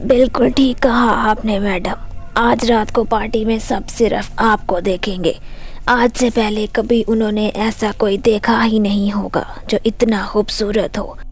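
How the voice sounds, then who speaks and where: Clear background noise accompanies a cartoonish character voice delivered at a fairly slow pace. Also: female-sounding voice, fairly high pitch for a woman. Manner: sly, teasing, self-admiring.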